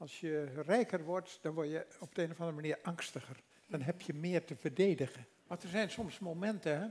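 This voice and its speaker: A man talks at a fairly quick pace. His pitch is high and varies in an ordinary way. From Netherlands. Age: 80s+. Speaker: former politician and author. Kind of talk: interview answer. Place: stage. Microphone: headset.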